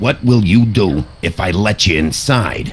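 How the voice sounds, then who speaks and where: Using a put-on, growling character voice, a man speaks at a fairly slow pace and a fairly low pitch over clear background noise. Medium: video game. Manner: curt, interrogating.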